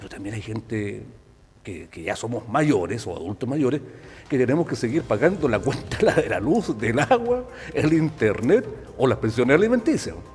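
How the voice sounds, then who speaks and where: Over noticeable background noise, a man with a Chilean accent speaks at a medium pitch, his pitch swinging very widely and his loudness varying greatly. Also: moderate pace. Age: 60s. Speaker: TV host. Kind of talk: casual chat. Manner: animated.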